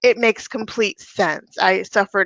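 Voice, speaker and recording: In a dry, close sound with no echo, a woman speaks at a fairly slow pace. Her tone is bright and sharp, her intonation fairly even. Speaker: therapist. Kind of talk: interview.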